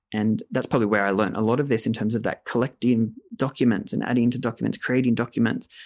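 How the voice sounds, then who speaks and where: In an Australian accent, a man talks at a very fast pace with a medium pitch and monotone, flat intonation. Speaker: narrative therapy clinician. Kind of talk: interview.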